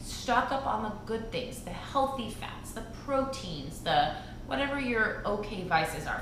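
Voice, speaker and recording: A woman's speech comes through audible room echo, with noticeable background noise as well. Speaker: fitness coach. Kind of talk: tutorial. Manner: fast; animated.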